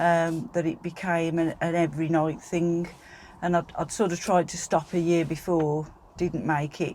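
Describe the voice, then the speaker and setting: A woman speaks at a moderate pace with a West Midlands accent, her fairly low voice dark and mellow in tone and her intonation flat and monotone. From West Midlands, England (Staffordshire border). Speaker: podcast guest, sober community organiser. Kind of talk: interview about personal sobriety journey. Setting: in a van.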